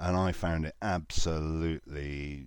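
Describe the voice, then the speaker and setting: Over a silent background in a very clean recording, a man speaks with fairly even intonation in a very deep, low voice. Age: 40s. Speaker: podcast host, guest. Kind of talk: casual chat.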